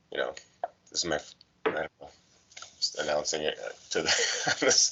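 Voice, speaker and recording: At a moderate pace, a man speaks with big swings in loudness over noticeable background noise. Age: 50s. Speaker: cartoonist. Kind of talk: casual chat. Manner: halting.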